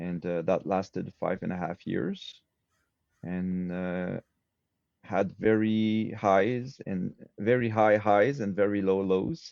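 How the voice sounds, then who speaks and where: A man's very slow, fairly low voice with a Quebec accent and ordinary pitch variation. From Quebec, Montreal. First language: French. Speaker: swordsmith. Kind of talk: interview conversation.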